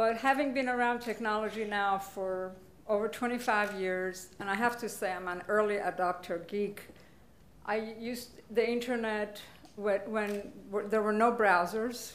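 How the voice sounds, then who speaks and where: Speaking at a fairly slow pace, a woman uses a fairly high pitch. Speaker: panel moderator and investment banker. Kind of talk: conference panel discussion. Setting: stage with audience. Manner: animated. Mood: upbeat, playful. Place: hall.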